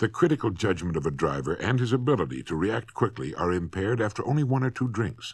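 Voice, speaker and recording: A man talks at a fairly quick pace in a husky voice with vocal fry and very wide pitch swings. The recording is very clean, with a silent background. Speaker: motivational speaker. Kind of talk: vintage spoken-word record, instructional lecture. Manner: stern, scolding.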